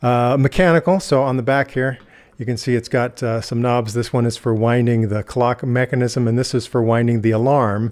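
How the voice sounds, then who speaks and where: A man's medium-pitched, American-accented speech, an ordinary speaking voice, with fairly even intonation, a moderate pace and a quiet background. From United States. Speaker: product reviewer. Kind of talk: tutorial. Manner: casual.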